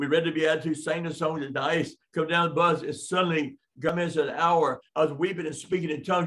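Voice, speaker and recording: Flat, monotone intonation runs throughout. Behind it, the background stays quiet. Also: man. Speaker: preacher. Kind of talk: sermon. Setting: live-streamed class. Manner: halting. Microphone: webcam.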